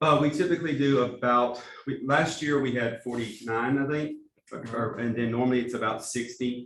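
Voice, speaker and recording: A man with an American accent speaks at a moderate pace in a medium pitch, his intonation fairly even, with audible room echo. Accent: East Texas accent with some Alabama. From East Texas. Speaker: pastor and church planting director. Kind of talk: training talk. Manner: halting, with repeated words.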